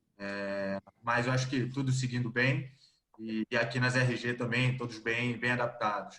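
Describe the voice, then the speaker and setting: A man speaks in a Rio de Janeiro accent, his tone bright and sharp at a medium pitch. His pace is fairly slow and his intonation monotone and flat. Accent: carioca accent, noticeable. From Rio de Janeiro, Brazil. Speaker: executive search consultant. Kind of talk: video call interview.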